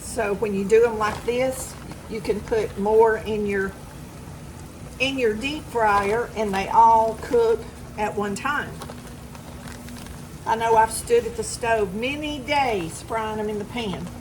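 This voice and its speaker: Speaking at a very slow pace with long, frequent pauses, a woman with a Southern US accent and fairly high pitch keeps her intonation fairly even amid noticeable background noise and audible room echo. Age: 60s. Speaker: home cooking vlogger. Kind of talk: cooking tutorial. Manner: casual, chatty.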